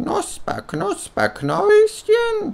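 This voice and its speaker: An extremely high-pitched, put-on character voice. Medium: read story. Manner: falsely friendly.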